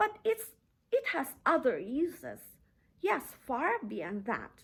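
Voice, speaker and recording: A woman uses a put-on character voice that is nasal. She talks at a fairly slow pace with very wide pitch swings. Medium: read story.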